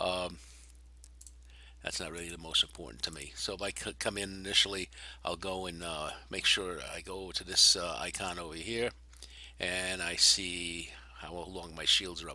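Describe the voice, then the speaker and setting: The tone is bright and sharp, with vocal fry and big swings in loudness. The voice moves at a moderate pace with ordinary pitch variation and long, frequent pauses. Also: man, very deep, low pitch for a man. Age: 60s. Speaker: gaming video creator. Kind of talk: gameplay tutorial. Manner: halting, many fillers.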